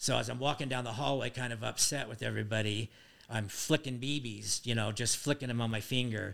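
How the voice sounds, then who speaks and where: A man with an American accent speaks at a moderate pace, with fairly even intonation and vocal fry. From Utah. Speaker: father of the hosts. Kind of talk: casual chat.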